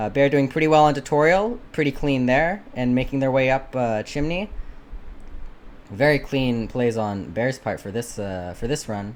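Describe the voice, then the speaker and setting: Using an unremarkable speaking voice, a man talks at a medium pitch with lively intonation. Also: moderate pace. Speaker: shoutcaster auditioning. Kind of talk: live game commentary. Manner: casual, filler-heavy.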